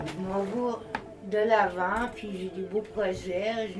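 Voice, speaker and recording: A woman speaks with a Quebec accent and fairly even intonation. Noticeable background noise and audible room echo surround her. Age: 60s. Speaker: public speaker. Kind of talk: group sharing circle.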